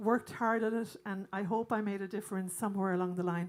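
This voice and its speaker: A woman with an Irish accent at a moderate pace, with music in the background. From Ireland. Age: 60s. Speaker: singer and bandleader. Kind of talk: stage banter to audience. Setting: stage with audience.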